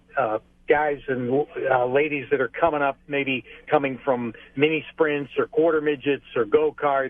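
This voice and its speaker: A man speaks at a fairly slow pace with fairly even intonation. His fairly high-pitched voice is an ordinary speaking voice. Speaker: race track public address announcer. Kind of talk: interview answer by phone. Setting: phone line.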